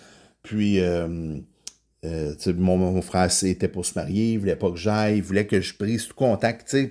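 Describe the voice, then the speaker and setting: A man with a very deep, low voice and a dark, mellow tone speaks at a fairly slow pace with ordinary pitch variation and big swings in loudness on a very clean recording with a silent background. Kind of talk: podcast monologue on faith. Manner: hesitant, many filler words.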